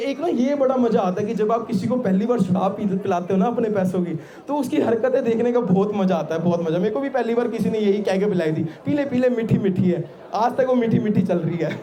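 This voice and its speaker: Through noticeable background noise comes a man's energetic tone, high in pitch with ordinary pitch variation. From Delhi, India. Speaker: stand-up comedian. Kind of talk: live stand-up comedy set. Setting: live outdoor college fest stage. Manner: energetic, conversational.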